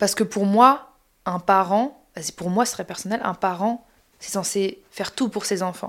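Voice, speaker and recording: A woman with a normal speaking voice, medium pitch, fairly even intonation and a fairly slow pace, on a very clean recording with a silent background. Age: 30s. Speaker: podcast host. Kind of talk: casual chat. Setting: sharing one mic with her mother.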